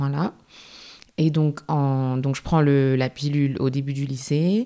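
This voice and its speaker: Fairly even in intonation, a woman speaks with a very deep, low pitch. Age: 20s. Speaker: graduate student sharing her endometriosis experience. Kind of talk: testimony. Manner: hesitant, with frequent fillers.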